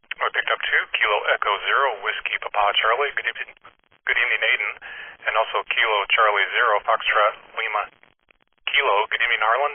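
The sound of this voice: A man talks at a fast pace in a fairly low pitch. His voice has a slightly husky edge and fairly even intonation.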